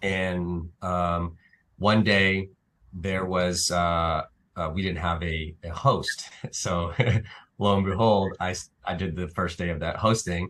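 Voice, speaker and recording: Over a quiet background, a man with a very deep, low voice speaks at a very slow pace in a monotone, flat intonation. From Naples, Italy. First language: Italian. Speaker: actor and filmmaker. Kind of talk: interview. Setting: live stream show. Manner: halting, many fillers.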